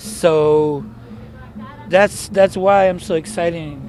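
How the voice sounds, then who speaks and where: A very slow, lively-intoned delivery in a Mexican accent, with audible room echo and noticeable background noise. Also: man. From Mexicali, Baja California, Mexico. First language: Spanish. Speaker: experimental noise musician. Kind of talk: casual interview. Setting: outdoors after a show.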